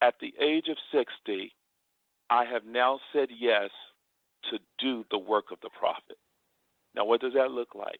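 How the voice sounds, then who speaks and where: A man with a medium-pitched voice talks at a fairly slow pace, leaving long, frequent pauses. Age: 60s. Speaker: bishop, preacher. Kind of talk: interview. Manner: animated.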